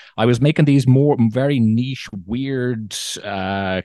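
Against a quiet background, a man speaks in a dark, mellow tone with ordinary pitch variation, the sound dry and close with no echo. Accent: Dublin. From Ireland, Dublin. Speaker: content creator, former musician and actor. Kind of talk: casual chat. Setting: video call.

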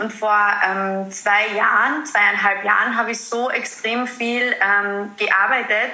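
Fairly even intonation is heard through noticeable background noise and audible room echo. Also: woman. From Austria, Carinthia. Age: 20s. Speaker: mindfulness coach. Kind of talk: interview.

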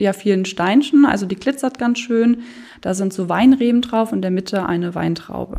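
A woman's voice of medium pitch and a dark, mellow tone, at a moderate pace with ordinary pitch variation. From Germany, Moselle region (Lower Moselle). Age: 20s. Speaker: insurance call-center employee and local wine queen. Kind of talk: interview.

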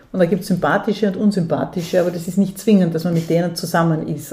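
A woman with a medium-pitched voice speaks against noticeable background noise. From Austria, Vorarlberg (Dornbirn). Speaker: theatre director and feminist activist. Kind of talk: interview. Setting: at her home.

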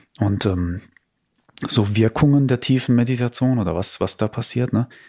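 In a very clean recording with a silent background, a man has a normal speaking voice at medium pitch with ordinary pitch variation. He talks at a moderate pace, and the sound is dry and close with no echo. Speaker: podcast host, spiritual teacher.

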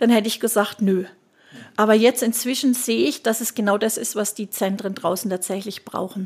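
The speaker uses a normal speaking voice at a fairly quick pace. The intonation stays fairly even. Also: woman, fairly high pitch for a woman. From Germany, Würzburg (Lower Franconia). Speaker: nurse and healthcare consultant. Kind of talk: interview.

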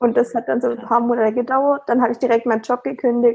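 Her high pitch moves with ordinary variation as the woman speaks. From Stuttgart area, Germany. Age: 20s. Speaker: virtual assistant. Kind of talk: casual interview chat.

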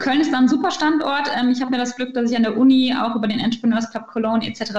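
Noticeable background noise runs under the recording. A woman speaks at a fairly quick pace. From Ruhr area, Germany. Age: 20s. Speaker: start-up founder. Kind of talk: interview. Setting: video call.

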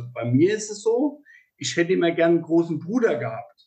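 A man with a high pitch and very wide pitch swings, at a moderate pace. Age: 40s. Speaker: podcast host, horse mediator. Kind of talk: interview. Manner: halting, many repetitions and fillers.

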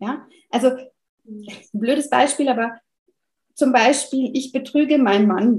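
Her voice sits high and moves up and down in a normal way. She is a woman talking at a medium speed. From France. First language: French (speaking German). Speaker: family counselor and parenting coach. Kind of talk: interview conversation.

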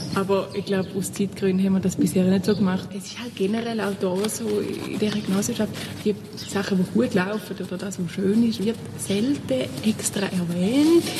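A woman with a Thurgau accent, medium pitch, ordinary pitch variation and a moderate pace, amid noticeable background noise. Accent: Thurgau Swiss German dialect. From Switzerland, Thurgau. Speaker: compost group volunteer. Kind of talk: interview.

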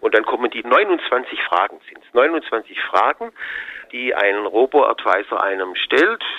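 A man at a very slow pace, with big swings in loudness, over noticeable background noise. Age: 60s. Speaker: asset management executive. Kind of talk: interview. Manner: hesitant, with fillers.

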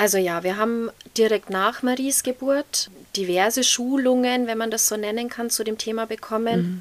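At a moderate pace, a woman uses a normal speaking voice with a fairly high pitch and fairly even intonation. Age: 30s. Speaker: mother of a child needing intensive care. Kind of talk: interview.

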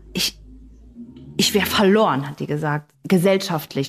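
Music plays in the background. Over it, a woman speaks at a moderate pace with lively intonation. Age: 30s. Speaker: podcast host. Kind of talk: casual chat.

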